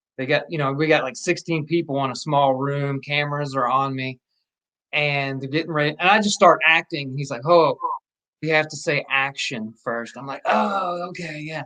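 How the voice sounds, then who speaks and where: A man with a slight Southern US accent speaks at a moderate pace in a fairly high pitch, with a bright, sharp tone, ordinary pitch variation and big swings in loudness. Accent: slight Southern twang. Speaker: actor. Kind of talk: casual chat.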